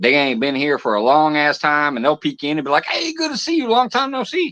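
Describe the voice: Speaking at a fairly quick pace, a man uses a fairly high pitch, a bright, sharp tone and lively intonation.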